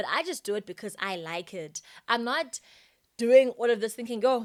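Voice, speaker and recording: A woman's fairly high-pitched, lively voice at a moderate pace, big swings in loudness, dry and close with no echo, in a very clean recording over a silent background. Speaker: podcast host. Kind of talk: casual chat. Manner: talkative.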